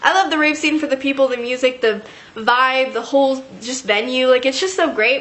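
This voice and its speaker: The woman's voice sits high in pitch, with ordinary pitch variation. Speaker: YouTube vlogger. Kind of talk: storytime monologue. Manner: fast; casual, filler-heavy.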